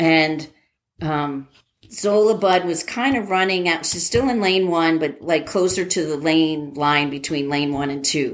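Speaking fairly slowly in an unremarkable speaking voice, a woman with an American accent keeps a fairly low pitch and ordinary pitch variation. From New Jersey. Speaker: airline pilot and former college athlete. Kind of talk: casual interview.

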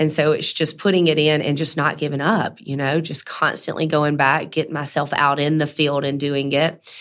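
A woman speaks in a Mississippi accent at a very deep, low pitch. She leaves hardly any pauses. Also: moderate pace. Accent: Southern US (Mississippi). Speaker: cleaning business owner. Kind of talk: interview. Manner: animated.

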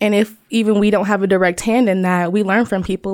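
With an American accent, a woman talks fairly quickly in an ordinary speaking voice, her pitch medium and her intonation fairly even. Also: very clean recording, silent background. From Ohio, US Midwest. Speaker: design researcher and author. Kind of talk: podcast interview.

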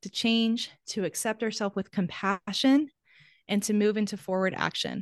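A woman with an unremarkable speaking voice talks at a moderate pace, her pitch fairly high. The sound is dry and close with no echo over a quiet background. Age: 30s. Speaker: ADHD coach. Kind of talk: interview. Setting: video call.

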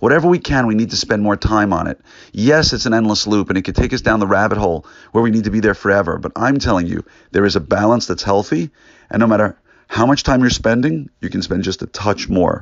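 An energetic man speaks at a very fast pace with ordinary pitch variation. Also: fairly low pitch for a man. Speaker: orthodontist and practice coach podcast host. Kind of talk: motivational monologue. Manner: earnest, energetic.

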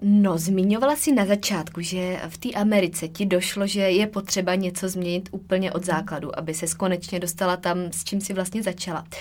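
Delivered in a plain, everyday voice, the speech moves at a moderate pace with hardly any pauses. Intonation stays fairly even. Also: woman, medium pitch for a woman. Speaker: podcast host, nutrition coach. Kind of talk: interview.

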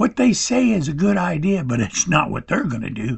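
This man's fairly high voice, touched with vocal fry, moves at a moderate pace through very wide pitch swings. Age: 70s. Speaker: podcast host. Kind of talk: political monologue. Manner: hesitant, with fillers.

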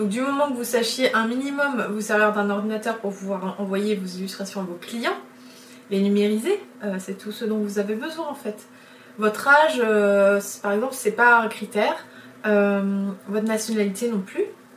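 The speaker talks at a moderate pace with ordinary pitch variation, leaving long, frequent pauses. Noticeable background noise runs underneath. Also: woman, fairly high pitch for a woman. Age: 30s. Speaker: illustrator and podcast host. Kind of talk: solo podcast monologue. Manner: hesitant, frequent fillers and repetitions.

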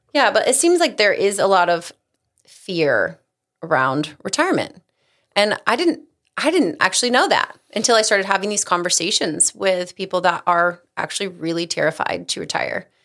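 A woman talks at a moderate pace with a medium pitch. Her pitch swings very widely. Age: 40s. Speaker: creative brand manager at a financial advisory firm. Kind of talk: casual chat.

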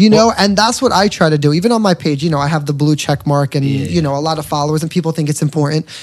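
Over noticeable background noise, a man with a fairly high pitch talks at a very fast pace with hardly any pauses, his tone animated and his pitch variation ordinary. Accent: New York. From New York. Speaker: singer and social media entertainer. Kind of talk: casual chat.

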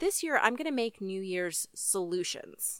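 A woman speaks at medium pitch and a moderate pace, her tone bright and sharp. The recording is very clean with a silent background and a dry, close sound with no echo. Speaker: podcast host. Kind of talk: scripted narration.

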